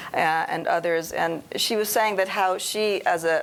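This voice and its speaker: A woman in an American accent with ordinary pitch variation. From New York City. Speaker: translator. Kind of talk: panel discussion. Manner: halting, many fillers.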